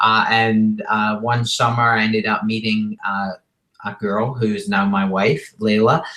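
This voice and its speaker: A man with a Scottish accent speaks at a fairly slow pace in a bright, sharp tone, with monotone, flat intonation. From Scotland. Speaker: entrepreneur and rock musician. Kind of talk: interview. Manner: casual.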